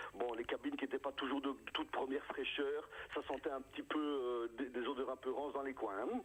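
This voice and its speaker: Against noticeable background noise, a man speaks at a fairly quick pace with a fairly high pitch and very even loudness. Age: 60s. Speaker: comedian. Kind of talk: radio interview. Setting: phone call. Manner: animated.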